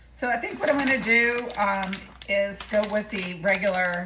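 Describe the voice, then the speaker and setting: The woman's voice carries ordinary pitch variation. Noticeable background noise and audible room echo surround it. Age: 60s. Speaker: home cook video creator. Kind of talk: casual cooking tutorial. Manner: casual, hesitant with fillers.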